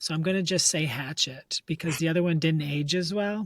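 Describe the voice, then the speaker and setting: Speaking in a normal speaking voice with an American accent, a man with a fairly high pitch keeps a moderate pace and fairly even intonation on a very clean recording with a silent background. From Michigan, US. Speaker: elementary school teacher. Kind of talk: interview. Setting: classroom.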